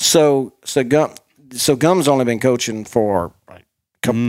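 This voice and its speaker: A man has a normal speaking voice at a medium pitch with ordinary pitch variation. His loudness swings widely. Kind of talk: radio DJ-style banter, rapid-fire and overlapping, with co-hosts trading quips.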